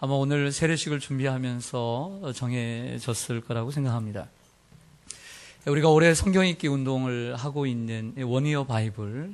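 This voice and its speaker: With an ordinary speaking voice, a man talks at a moderate pace and medium pitch, using ordinary pitch variation. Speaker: pastor. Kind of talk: sermon. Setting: church.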